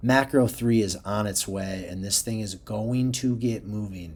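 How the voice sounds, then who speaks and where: The clip has an ordinary speaking voice with ordinary pitch variation. Delivery comes at a fairly slow pace. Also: man. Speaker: crypto chart analyst. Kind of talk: tutorial. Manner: casual.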